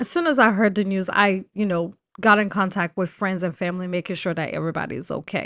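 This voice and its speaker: An angry-sounding woman talks very fast with an American accent. Her pitch is medium with ordinary variation, and the background is quiet. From Texas. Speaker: podcast host. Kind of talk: angry rant. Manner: angry, emphatic, repeating phrases; upset, shaken, unedited.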